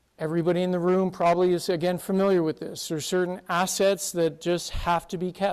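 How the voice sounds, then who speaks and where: In a Canadian accent, a man speaks fairly quickly at a high pitch with monotone, flat intonation. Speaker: conference speaker, consulting firm partner. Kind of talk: conference presentation. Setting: stage with audience.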